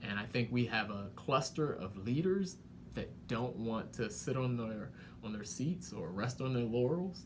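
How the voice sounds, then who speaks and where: Lively intonation marks a man with an American accent, heard with audible room echo. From Washington, D.C. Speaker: economic development director. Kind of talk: interview conversation.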